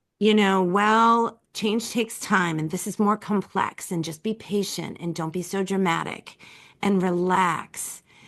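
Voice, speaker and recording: In a normal speaking voice, a woman talks at a fairly slow pace with medium pitch and fairly even intonation over a quiet background. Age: 50s. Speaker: writer, speaker and coach. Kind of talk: podcast interview. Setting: call.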